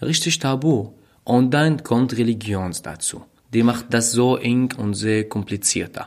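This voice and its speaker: A man's medium-pitched voice with a non-native accent, at a fairly slow pace. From Syria. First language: not German (speaking German). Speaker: refugee, podcast guest. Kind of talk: casual chat. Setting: at host's flat. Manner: halting, searching for words.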